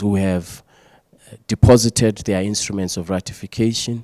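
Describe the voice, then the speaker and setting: Recorded dry with no echo against a quiet background, a man uses an unremarkable speaking voice with fairly low pitch and ordinary pitch variation. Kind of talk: interview answer. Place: hall. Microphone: handheld.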